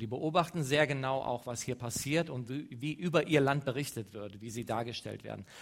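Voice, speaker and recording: Pitch moves with ordinary variation. The speaker has a plain, everyday voice. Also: man. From western Germany, Leverkusen. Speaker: mission organization speaker. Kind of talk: church talk.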